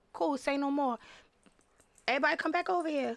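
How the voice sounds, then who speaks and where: A woman's voice sounds animated, bright and sharp. Her pitch is high, with ordinary variation. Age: 30s. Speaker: hair salon owner. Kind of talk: casual chat.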